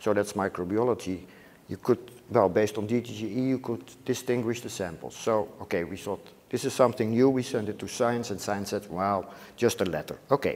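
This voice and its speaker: With a Dutch accent, a man talks fairly quickly at a fairly low pitch with ordinary pitch variation. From Netherlands. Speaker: microbiology professor. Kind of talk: lecture. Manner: halting.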